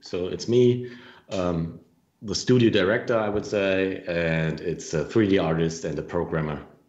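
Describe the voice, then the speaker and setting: A man speaks with a German accent at a fairly slow pace. His intonation is lively. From Germany, Franconia (northern Bavaria). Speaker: game developer. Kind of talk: interview. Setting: live video stream.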